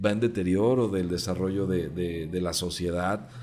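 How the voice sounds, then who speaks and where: Audible room echo surrounds a man with a very deep, low pitch. His dark, mellow tone moves at a moderate pace. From Mexico, Jalisco. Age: 30s. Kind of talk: interview.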